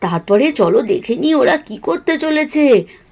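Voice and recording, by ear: Her voice high and slightly mellow, a woman speaks at a fairly slow pace with lively intonation.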